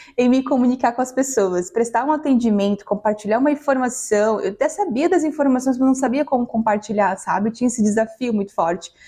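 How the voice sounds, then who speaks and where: With noticeable background noise behind her, a woman speaks at a fairly quick pace in a high pitch, her loudness very even and hardly any pauses breaking her speech. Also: ordinary pitch variation. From Maranhão, Brazil. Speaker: customer success professional, talk host. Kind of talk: panel talk.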